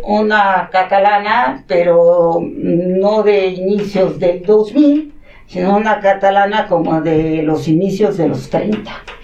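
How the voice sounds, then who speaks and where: Noticeable background noise sits under a woman who speaks very slowly at a medium pitch. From Mexico City, in a Catalan-speaking household. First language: Catalan (speaking Spanish). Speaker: academic coordinator at a school. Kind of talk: interview, personal storytelling.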